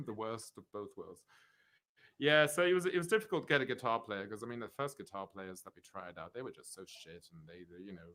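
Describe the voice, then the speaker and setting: This man speaks with a slight Swiss accent at medium pitch and a fairly quick pace. His tone is bright and sharp, with very wide pitch swings and big swings in loudness. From Switzerland, Zurich (born in London, moved at 7 or 8). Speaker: rockabilly double bass player. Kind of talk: casual interview chat.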